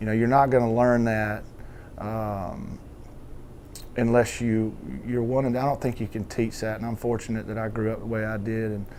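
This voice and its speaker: A man with a strong Southern Georgia accent speaks at a medium pitch with a dark, mellow tone. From US South, southwest Georgia. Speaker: country songwriter. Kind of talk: interview talk. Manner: halting, many repetitions.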